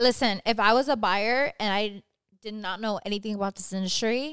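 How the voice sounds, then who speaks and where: In a very clean recording with a silent background and a dry, close sound with no echo, a woman with an American accent speaks in an ordinary speaking voice at a fairly high pitch, with ordinary pitch variation and a moderate pace. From Southern California (Whittier). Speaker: mortgage lender. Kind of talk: casual chat. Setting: studio.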